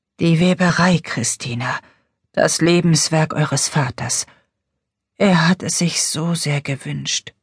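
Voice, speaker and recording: A woman whispering in a breathy, put-on character voice, fairly slow, with long, frequent pauses and a dry, close sound with no echo. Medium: read story. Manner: urgent, pleading.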